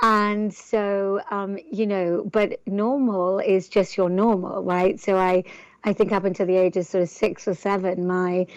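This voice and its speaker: A woman speaks in an English accent at a medium pitch. Her pace is fairly slow and her intonation fairly even. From northern England. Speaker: entrepreneur. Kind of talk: interview. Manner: halting, many fillers.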